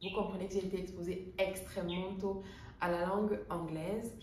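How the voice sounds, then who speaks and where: A woman speaks at a moderate pace and medium pitch. Audible room echo and noticeable background noise fill the recording. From Cameroon, Bamenda (anglophone North-West). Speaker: air traffic controller and English coach. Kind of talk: casual vlog monologue.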